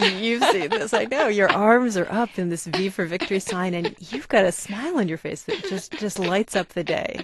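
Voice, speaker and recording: Over noticeable background noise, a woman with a medium-pitched voice speaks at a moderate pace, with lively intonation and hardly any pauses. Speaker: interviewer. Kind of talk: interview question.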